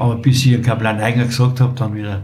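Room echo is audible, along with noticeable background noise. A man races through his words very fast. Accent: Bavarian. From Bavaria, Wartenberg (Upper Bavaria). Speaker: retired local shopkeeper and choir chairman. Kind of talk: casual chat.

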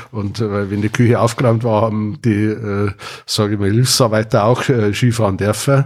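Monotone and flat, a man's voice sits at a fairly low pitch. He keeps a moderate pace. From Bavaria, Wartenberg (Upper Bavaria). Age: 60s. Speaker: retired IT company founder. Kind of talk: casual chat. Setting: at a home.

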